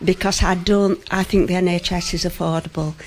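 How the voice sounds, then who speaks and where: A speaker with a Yorkshire accent talks at a moderate pace. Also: woman. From West Yorkshire. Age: 70s. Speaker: patient. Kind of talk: radio interview. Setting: GP surgery, live broadcast.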